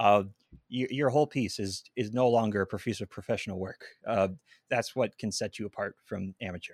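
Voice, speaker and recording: Speaking at a fairly quick pace, a man has a fairly low pitch and a Pacific Northwest accent. The very clean recording has a silent background and a dry, close sound with no echo. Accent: Pacific Northwest American. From Seattle, Washington. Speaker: videographer and audio engineer. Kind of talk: podcast interview. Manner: animated.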